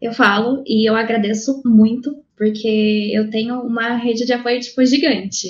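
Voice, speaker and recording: Her speed is moderate as a woman speaks. The intonation stays monotone and flat throughout. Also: fairly high pitch for a woman. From Londrina, Paraná, Brazil. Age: 20s. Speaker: iOS developer, mother. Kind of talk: casual chat.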